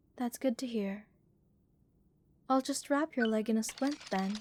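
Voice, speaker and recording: A woman does a put-on robotic character voice, pitched fairly high and delivered at a moderate pace. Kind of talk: soothing ASMR roleplay. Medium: audio drama. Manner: slightly robotic, lilting, calm and clinical.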